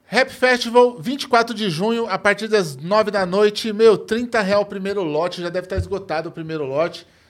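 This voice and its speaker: With hardly any pauses, a man keeps talking. His voice is high in pitch. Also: ordinary pitch variation, moderate pace. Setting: studio.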